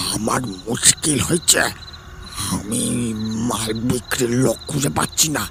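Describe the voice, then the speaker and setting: Against clear background noise, a man does a put-on character voice at a medium pitch and a fairly slow pace. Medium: audio drama. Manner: forceful, guarded.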